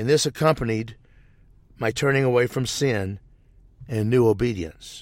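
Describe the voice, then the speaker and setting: With an American accent, a man speaks at a medium pitch and a moderate pace, with long, frequent pauses. The recording is very clean, with a silent background. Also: ordinary pitch variation. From US Midwest, southeast Missouri. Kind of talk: testimony. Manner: scripted, read-aloud delivery.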